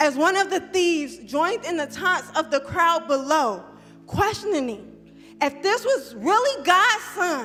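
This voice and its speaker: With music in the background, a woman in a raised, projected voice of extremely high pitch speaks at a fairly slow pace, with very wide pitch swings. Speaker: spoken word poet. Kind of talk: spoken word poetry performance. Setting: church, live performance.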